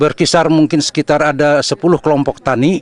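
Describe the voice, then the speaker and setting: Speaking at a fairly quick pace, a man with a fairly high pitch sounds dry and close, with no echo. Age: 60s. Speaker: farmer. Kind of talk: interview. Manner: halting.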